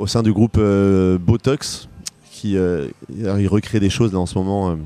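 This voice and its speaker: This is a plain, everyday voice, a man's with a fairly low pitch. His pitch varies in an ordinary way. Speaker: pop singer-songwriter. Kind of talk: interview.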